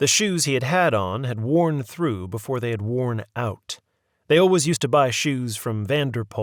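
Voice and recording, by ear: Reading aloud in a natural voice with lively intonation, the speaker is heard over a quiet background.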